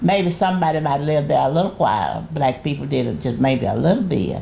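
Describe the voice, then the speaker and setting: There is audible room echo as a woman talks at a moderate speed. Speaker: great-grandmother, retired pastor. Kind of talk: oral history interview. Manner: halting.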